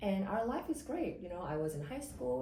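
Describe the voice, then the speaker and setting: A woman with a fairly low voice talks at a fairly quick pace with very wide pitch swings, amid noticeable background noise and audible room echo. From South Korea (Seoul). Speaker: immigration lawyer. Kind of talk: podcast interview.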